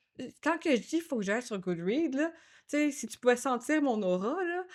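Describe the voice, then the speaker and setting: Animated and lively in intonation, a woman with a Quebec accent talks at a moderate pace on a very clean recording with a silent background. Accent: Québécois French. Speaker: podcast co-host. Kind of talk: casual chat.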